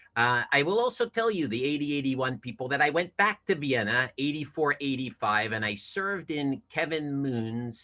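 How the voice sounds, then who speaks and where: A man's bright, sharp voice with an American accent, lively intonation and a moderate pace. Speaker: study abroad alumnus, presenter. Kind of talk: online presentation. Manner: halting.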